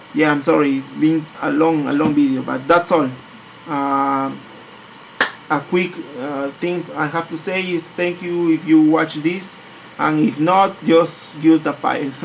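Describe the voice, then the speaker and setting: A fairly high-pitched man at a fairly slow pace with fairly even intonation, over noticeable background noise. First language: not English. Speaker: 3D graphics tutorial maker. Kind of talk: tutorial. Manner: halting, many repetitions and fillers.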